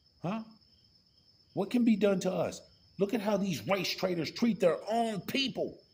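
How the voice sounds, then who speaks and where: A high-pitched man speaks in an animated tone with ordinary pitch variation. His pace is fairly slow, with long, frequent pauses. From rural US. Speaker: political commentator. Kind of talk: political rant.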